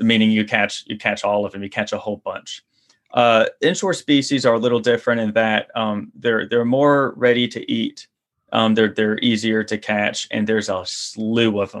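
In a Louisiana accent, the speaker keeps a moderate pace and fairly even intonation against a quiet background. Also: man, medium pitch for a man. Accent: Louisiana Southern US. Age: 30s. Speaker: fishing guide and online course creator. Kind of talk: casual interview. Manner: halting, many repetitions and fillers.

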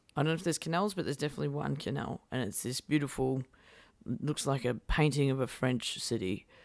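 Speaking very fast with an Australian accent, a woman with a very deep, low pitch uses lively intonation and vocal fry. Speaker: singer-songwriter. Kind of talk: casual interview chat.

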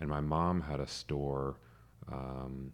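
A man's very deep, low voice stays flat and monotone. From US South, metro Atlanta, Georgia. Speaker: urban designer. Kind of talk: casual interview.

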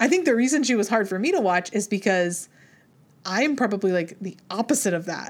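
A woman with an unremarkable speaking voice talks at a medium pitch and a fairly quick pace, her intonation lively. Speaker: podcast host. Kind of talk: casual chat. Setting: video call.

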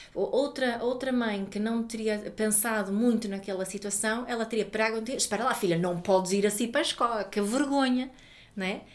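In a Swedish accent, a woman talks at a fairly high pitch and moderate pace with fairly even intonation. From Sweden. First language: Swedish (speaking Portuguese). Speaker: parenting educator and author. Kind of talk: interview. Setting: office.

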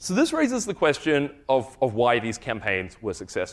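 With a New Zealand accent, a man talks at a fairly quick pace and a fairly high pitch. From New Zealand, Wellington. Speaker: farm animal welfare program lead. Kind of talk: conference talk.

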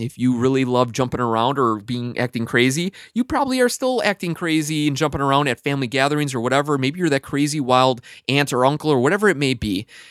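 With a plain, everyday voice, a man of fairly high pitch talks at a fairly quick pace in a dry, close sound with no echo. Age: 20s. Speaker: podcast host. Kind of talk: casual interview podcast.

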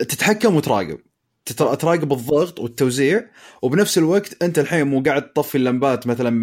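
A man speaks in a plain, everyday voice, fairly high in pitch, with lively intonation. The recording is very clean, with a silent background. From Eastern Province, Saudi Arabia. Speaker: smart home consumer. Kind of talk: casual chat.

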